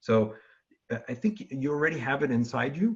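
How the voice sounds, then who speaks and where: Somewhat breathy, the man's voice moves with lively intonation. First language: not English. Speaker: QA engineer guest speaker. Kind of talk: Q&A in a live class presentation. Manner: halting, many fillers.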